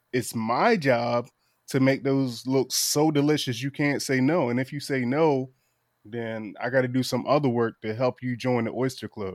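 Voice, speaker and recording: A man with an American accent speaks at a medium pitch in an ordinary speaking voice. His intonation is fairly even, and the recording is very clean with a silent background. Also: moderate pace. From Eastern Shore of Virginia. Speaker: oyster shucker and raw bar business owner. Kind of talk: casual interview chat. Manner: casual, lots of fillers (um, like).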